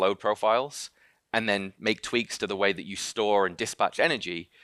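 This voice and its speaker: A man speaks very fast in a fairly low voice with a bright, sharp tone. The recording is very clean, dry and close, with a silent background and no echo. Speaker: company founder and CEO. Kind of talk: conference talk. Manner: hesitant, many fillers.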